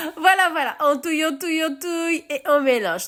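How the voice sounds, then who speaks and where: At a moderate pace, a woman speaks. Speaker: home cook. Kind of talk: cooking tutorial. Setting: home kitchen. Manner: animated; halting.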